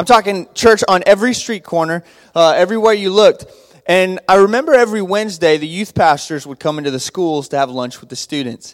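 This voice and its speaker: A man with a high pitch and an American accent talks at a fairly quick pace with lively intonation. His loudness swings widely. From Texas, Abilene. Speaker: youth pastor. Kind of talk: church greeting talk. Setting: church with congregation.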